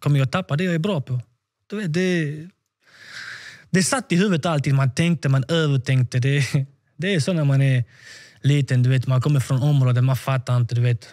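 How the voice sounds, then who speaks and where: A man talks at a fairly quick pace with a somewhat breathy voice and ordinary pitch variation. The background is quiet. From Sweden, Malmö; Sweden. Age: 20s. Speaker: professional footballer; podcast guest. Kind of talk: interview. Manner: halting, repeats words. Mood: animated, candid, at times defiant. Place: home room. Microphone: studio mic.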